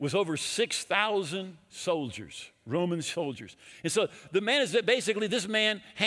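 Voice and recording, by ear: Someone is reading aloud in a natural voice. The delivery sounds like ordinary reading.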